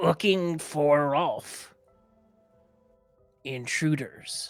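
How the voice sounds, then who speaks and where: A gruff, put-on character voice at a middle pitch plays over faint music in the background. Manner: gruff, serious.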